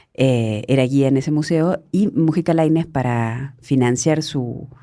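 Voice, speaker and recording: A woman's very deep, low voice, dark and mellow in tone, with ordinary pitch variation and a very clean recording over a silent background. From Argentina (Córdoba province). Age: 50s. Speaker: journalist. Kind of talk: interview conversation.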